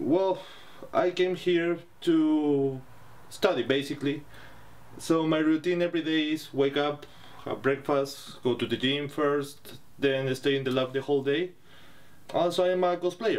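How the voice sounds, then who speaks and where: The speaker has a Chilean accent and fairly even intonation. The pace is fairly slow, broken by long, frequent pauses. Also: man, fairly high pitch for a man. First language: Spanish. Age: 30s. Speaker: cosplayer and PhD student. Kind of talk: documentary interview.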